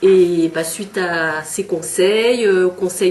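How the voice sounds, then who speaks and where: Through noticeable background noise, a woman speaks at a medium pitch. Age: 50s. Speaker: local election candidate. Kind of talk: candidate testimony. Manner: hesitant, many fillers.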